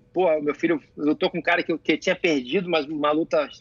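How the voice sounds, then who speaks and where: He speaks at a fairly quick pace. The man's pitch is fairly high. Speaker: jiu-jitsu athlete and coach. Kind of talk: casual chat. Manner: animated.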